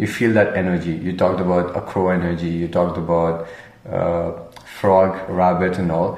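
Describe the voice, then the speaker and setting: A man with a very deep, low pitch, flat monotone intonation and a moderate pace, against noticeable background noise. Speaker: podcast host. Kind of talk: casual interview chat.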